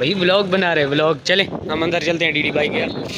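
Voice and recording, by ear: A man speaks fast with fairly even intonation and a fairly high pitch. Clear background noise sits behind him.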